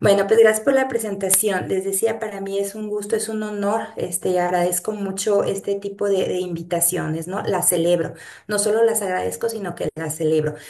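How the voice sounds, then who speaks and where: A woman's medium-pitched voice with fairly even intonation at a moderate pace, amid noticeable background noise and audible room echo. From Mexico, Guadalajara. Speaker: geography professor, researcher. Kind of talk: lecture.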